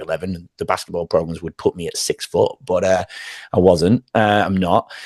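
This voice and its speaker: Someone with an English accent talks at a fairly quick pace, the sound dry and close with no echo. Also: man. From northern England, Manchester. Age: 40s. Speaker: former teacher and wellness coach. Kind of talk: podcast interview.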